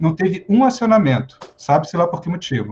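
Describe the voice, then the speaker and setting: Lively intonation marks this man's speech at a fairly quick pace. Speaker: firefighter officer and psychologist. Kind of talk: lecture. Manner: fast.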